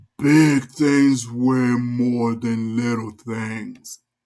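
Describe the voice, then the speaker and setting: A man puts on a character voice at medium pitch, speaking at a very slow pace. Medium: read story. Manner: gruff, overbearing.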